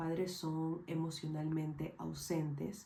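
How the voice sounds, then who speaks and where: Audible room echo surrounds a woman speaking very slowly in a very deep, low pitch with a dark, mellow tone. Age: 20s. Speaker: mental health educator. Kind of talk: scripted narration. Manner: formal.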